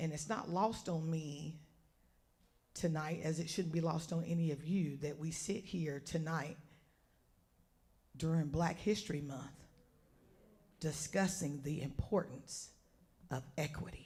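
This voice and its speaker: A woman's very deep, low, somewhat breathy voice with a dark, mellow tone, at a fairly slow pace with long, frequent pauses, fairly even intonation and audible room echo. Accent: American. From North Carolina, Orange County. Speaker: community advocate. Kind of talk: public speech.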